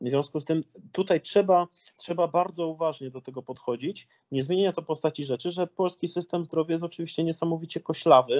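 A man talks at a very fast pace. His pitch sits high. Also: fairly even intonation. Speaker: former member of parliament and entrepreneur. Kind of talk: political interview. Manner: hesitant, with repetitions.

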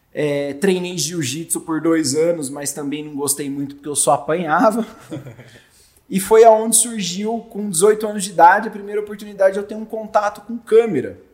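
A man's high voice at a moderate pace, lively in intonation, with big swings in loudness. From Brazil, Jundiaí (São Paulo state). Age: 30s. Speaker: audiovisual producer. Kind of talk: casual chat.

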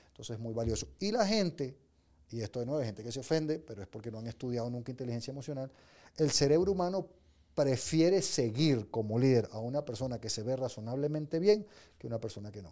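Very fast speech from a man with a dark, mellow tone and big swings in loudness, on a very clean recording with a silent background. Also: medium pitch for a man, lively intonation. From Venezuela. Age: 50s. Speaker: business leader and coach. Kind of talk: casual interview.

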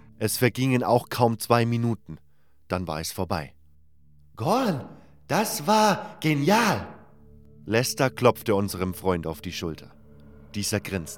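A man speaks at a very slow pace with very wide pitch swings and long, frequent pauses while music plays in the background. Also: medium pitch for a man. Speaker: audiobook narrator, voice actor. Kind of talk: audiobook fiction reading, first-person fantasy narration.

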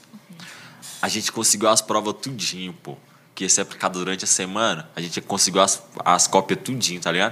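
A man talks at a fairly quick pace with a fairly low pitch and fairly even intonation, in an ordinary speaking voice. His loudness swings widely. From Brazil, Ceilândia (Federal District). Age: 30s. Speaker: social media page creator and stand-up comedian. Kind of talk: casual chat.

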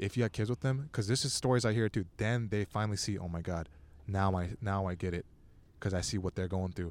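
This man talks at a very fast pace in a Californian accent, with ordinary pitch variation. The recording is very clean, with a silent background. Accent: Californian American English. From Southern California, Torrance. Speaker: stand-up comedian. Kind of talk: casual chat. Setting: outdoors at a beach.

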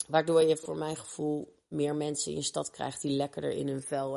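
A woman is speaking. Her pace is moderate. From Rotterdam, Kralingen. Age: 30s. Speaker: lifestyle coach. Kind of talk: group discussion.

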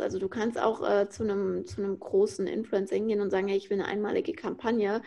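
A woman with a dark, mellow tone speaks at a fairly high pitch against a quiet background. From Frankfurt, Germany. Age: 20s. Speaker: influencer marketing consultant. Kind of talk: podcast interview.

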